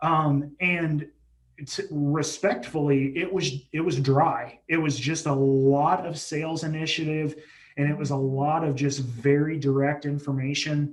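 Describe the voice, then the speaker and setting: Somewhat breathy and monotone, a man speaks at a fairly slow pace and a fairly high pitch. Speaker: healthcare digital marketing manager. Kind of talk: interview. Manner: halting, self-described stuttering.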